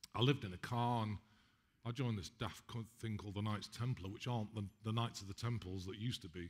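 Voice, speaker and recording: Fairly quick, somewhat breathy speech from a man. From England. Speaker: spiritual healer. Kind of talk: talk to an audience. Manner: fast; animated.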